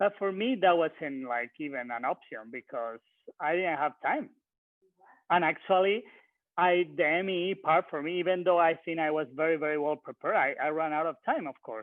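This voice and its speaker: A man with a non-native accent, a moderate pace and ordinary pitch variation. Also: fairly high pitch for a man. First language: not English. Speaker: recent bar exam taker. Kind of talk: webinar panel discussion. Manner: halting.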